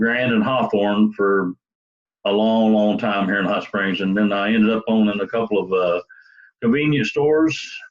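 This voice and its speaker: A fairly low-pitched man with a Southern US accent. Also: ordinary pitch variation, moderate pace. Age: 60s. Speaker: police sergeant. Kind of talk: self-introduction video. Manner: halting.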